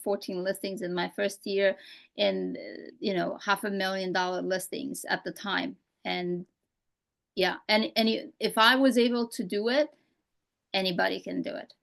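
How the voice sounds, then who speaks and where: With a slight Romanian accent, a woman speaks at medium pitch and a moderate pace. Her pitch variation is ordinary, and the background is quiet. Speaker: real estate coach. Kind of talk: casual interview chat.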